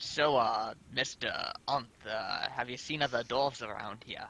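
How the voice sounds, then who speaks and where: Using a put-on character voice, a man talks at a moderate pace and a medium pitch. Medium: actual play.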